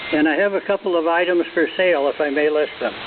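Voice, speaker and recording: Noticeable background noise runs under this man's voice. He has a fairly high pitch and fairly even intonation. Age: 80s+. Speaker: ham radio operator. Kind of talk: radio net check-in. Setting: amateur radio transmission.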